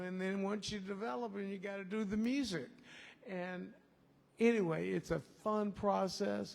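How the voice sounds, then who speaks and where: This man has a high voice and talks at a moderate pace. Room echo is audible. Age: 70s. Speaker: songwriter and festival organizer. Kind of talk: festival workshop remarks to audience. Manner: casual, rambling with fillers.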